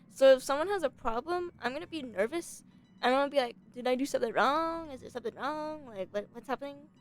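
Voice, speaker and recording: Against music in the background, a woman with a high pitch talks at a very fast pace with lively intonation. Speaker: streamer. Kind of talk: casual chat. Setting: live stream.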